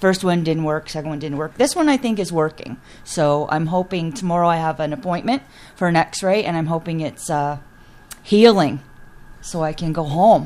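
With a Canadian accent, a woman in an unremarkable speaking voice talks at a fairly low pitch and moderate pace, with ordinary pitch variation. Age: 60s. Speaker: patient, retired steelworker. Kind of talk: interview.

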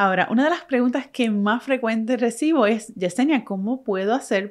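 With a Puerto Rican accent, a woman talks at a fairly high pitch with ordinary pitch variation. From Puerto Rico. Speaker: podcast host, photographer and marketing strategist. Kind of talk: solo podcast monologue.

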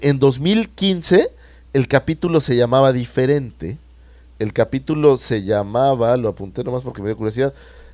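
Here a man talks at a moderate pace with a Mexican accent. His pitch is medium and his intonation lively. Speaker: podcast co-host. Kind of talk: casual chat.

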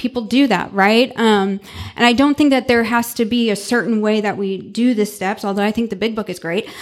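Speaking with an American accent, the voice is an ordinary speaking voice with fairly even intonation and a moderate pace. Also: woman. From US Midwest, St. Louis, Missouri. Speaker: recovering alcoholic speaker. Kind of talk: recovery talk to a live audience. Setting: event with live audience.

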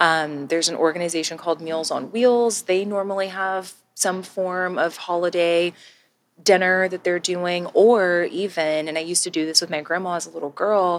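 An unremarkable speaking voice with an American accent, fairly even intonation and a moderate pace. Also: woman, fairly low pitch for a woman. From Texas. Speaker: podcast co-host. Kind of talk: casual chat.

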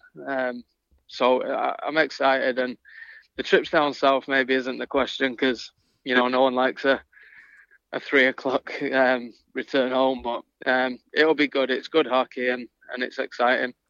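A man's bright, sharp, flat monotone in a northern English accent, dry and close with no echo, over a quiet background. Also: medium pitch for a man, moderate pace. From northern England. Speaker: ice hockey head coach. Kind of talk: interview.

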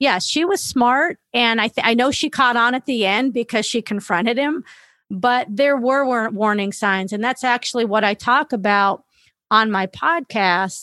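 A woman's bright, sharp tone at a fairly slow pace, with ordinary pitch variation, against a quiet background. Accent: Californian. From California, Los Angeles area. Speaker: former athlete and coach, violence prevention advocate. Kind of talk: interview.

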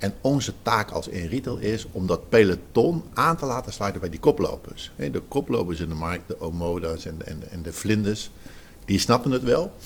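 Here a man speaks at a moderate pace in a fairly low, somewhat breathy voice. His pitch swings very widely. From Zeeland, Netherlands. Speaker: retail trade association director. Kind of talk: interview.

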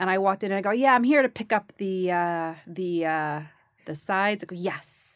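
Animated, moderately paced speech from a woman with a New York accent, medium in pitch with ordinary pitch variation, on a very clean recording with a silent background. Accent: New York (Bronx). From the Bronx, New York. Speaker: actress. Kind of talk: casual interview chat. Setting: studio. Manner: animated, laughs often.

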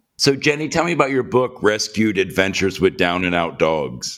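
Speaking with a fairly low pitch, a man lets his pitch swing very widely. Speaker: podcast host. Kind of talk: interview chat.

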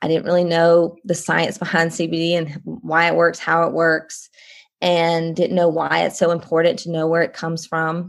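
A woman with a Southern US accent talks at a moderate pace. Her pitch is fairly low, and her intonation is monotone and flat. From Columbia, South Carolina. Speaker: guest, homeschooling mom and CBD consultant. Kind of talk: casual interview chat.

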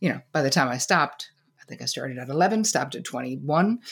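Vocal fry in a woman's very deep, low voice, at a moderate pace. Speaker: psychotherapist and author. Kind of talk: casual interview chat. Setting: video call.

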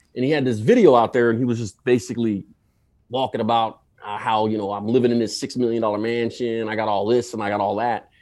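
The speech comes at a very fast pace with an American accent. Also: man, medium pitch for a man. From US. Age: 40s. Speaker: video creator. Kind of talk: casual chat. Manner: loud, hyper; excitable.

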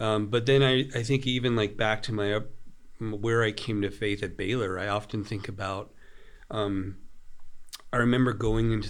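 At a moderate pace, a man speaks in an ordinary speaking voice, pitched fairly low. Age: 40s. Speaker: author and preacher. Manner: measured, intentional.

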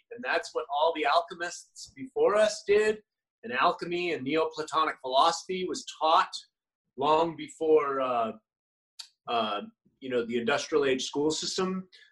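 With lively intonation and a fairly high pitch, this man speaks in an ordinary speaking voice. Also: fairly slow pace. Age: 50s. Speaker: health and wellness coach, former model. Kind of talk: interview conversation.

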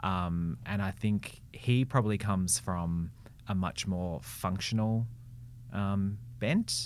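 Very deep, low voice of a man with an Australian accent, very slow and full of very wide pitch swings. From Melbourne, Australia. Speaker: brand and marketing strategist. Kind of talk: interview.

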